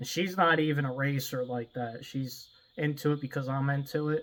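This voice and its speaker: A fairly high-pitched man at a moderate pace, with fairly even intonation. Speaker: drag racing vlogger. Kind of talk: casual vlog talk. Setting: outdoors at home by the car. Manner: quieter, keeping voice down outdoors.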